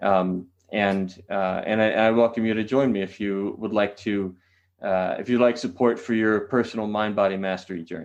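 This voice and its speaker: The background is quiet as a man with a Californian accent talks at a moderate pace. His voice sits at a fairly low pitch with fairly even intonation. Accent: General American (California). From California, San Diego. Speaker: qigong teacher. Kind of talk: podcast interview. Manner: hesitant, many fillers.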